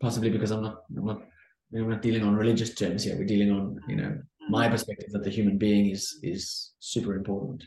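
Speaking at a fairly quick pace, a man with a South African accent has a dark, mellow tone that is somewhat breathy. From South Africa, Cape Town. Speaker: entrepreneur, former pastor and academic. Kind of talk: interview, conversational. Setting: video call.

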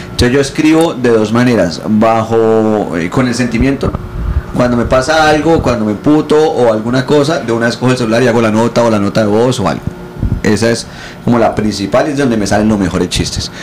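The speaker has a Colombian accent and talks at a fairly quick pace with ordinary pitch variation and very even loudness. Audible room echo and noticeable background noise are present. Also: man, medium pitch for a man. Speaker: comedian. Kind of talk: casual chat. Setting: hotel room.

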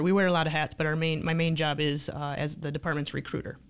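In an American accent, this woman's voice sits at a very deep, low pitch. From Michigan, St. Johns. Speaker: police sergeant. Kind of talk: casual interview. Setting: studio.

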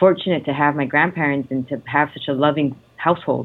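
A woman talks at a fairly quick pace in a very deep, low pitch. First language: Italian. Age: young. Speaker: lawyer and actress. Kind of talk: interview.

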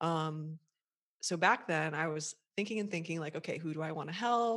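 An unremarkable speaking voice, this woman talks at a moderate pace and fairly low pitch with an American accent on a very clean recording with a silent background. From USA. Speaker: website copywriter and coach for therapists. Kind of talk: interview, conversational.

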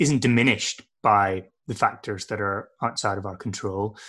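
Bright, sharp tone in a man's speech. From Northern Ireland. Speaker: adventurer and trail builder. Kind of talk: interview. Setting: video call.

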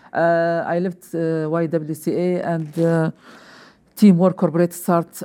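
A woman speaks with an Arabic accent. Her pitch is fairly low, and her tone is dark and mellow. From Libya. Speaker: newcomers' program coordinator. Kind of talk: interview. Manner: halting.

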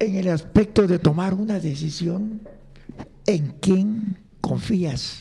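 A man speaks at a very slow pace in a high pitch. His pitch variation is ordinary. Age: old. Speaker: grandfather, former music teacher. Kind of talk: casual interview.

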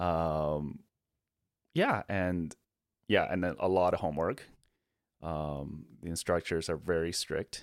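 On a very clean recording with a silent background, a man with a Chinese accent speaks in a very deep, low pitch with ordinary pitch variation. His pace is very slow, with long, frequent pauses. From Beijing, China.

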